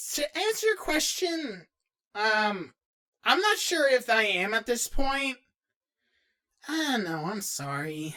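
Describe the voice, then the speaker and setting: A man does a put-on character voice in a nervous tone, pitched extremely high with very wide pitch swings. He speaks at a fairly slow pace with long, frequent pauses, in a very clean recording with a silent background. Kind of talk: in-character fan Q&A. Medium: role play. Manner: nervous, casual.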